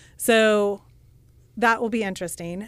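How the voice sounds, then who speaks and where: An animated woman with a Midwestern American accent, in a very clean recording with a silent background. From Kansas (Russell). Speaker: real estate agent and home builder. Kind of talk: radio interview. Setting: radio studio. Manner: talks with her hands, animated.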